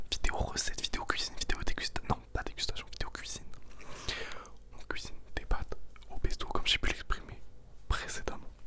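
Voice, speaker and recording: A woman whispering with long, frequent pauses, against noticeable background noise. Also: fairly quick pace. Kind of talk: casual talk to camera, cooking video. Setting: home kitchen, close microphone. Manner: upbeat, chatty.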